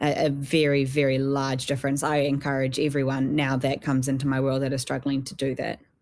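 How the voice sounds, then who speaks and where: A woman speaks at a fairly quick pace with hardly any pauses. Her voice is very deep and low, with monotone, flat intonation. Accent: New Zealand. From New Zealand, South Island. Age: young. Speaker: mental health activist. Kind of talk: interview.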